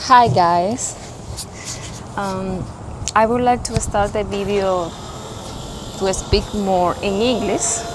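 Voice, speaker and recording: A medium-pitched woman with a Spanish accent and ordinary pitch variation, very slow with long, frequent pauses, amid audible room echo and noticeable background noise. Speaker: boat owner co-presenter. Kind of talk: casual video introduction. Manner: halting.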